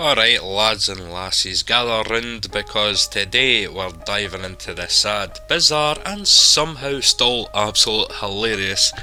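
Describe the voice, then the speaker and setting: With music in the background, a man speaks at a fairly slow pace in a Scottish accent. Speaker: gaming lore narrator. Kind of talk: humorous game lore narration. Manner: cheeky, comedic.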